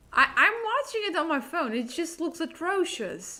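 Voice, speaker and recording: Projecting a raised voice, a woman speaks at extremely high pitch with very wide pitch swings and a bright, sharp tone. Her pace is fairly slow. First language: not English. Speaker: gaming streamer. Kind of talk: live gameplay commentary. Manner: halting, repeats words.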